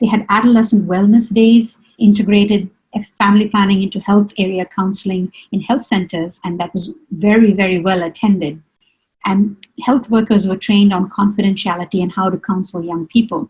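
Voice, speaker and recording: A woman speaks at a fairly quick pace with fairly even intonation. Her voice is somewhat breathy. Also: medium pitch for a woman. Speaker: webinar panelist on family planning programs. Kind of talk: webinar presentation. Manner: fast.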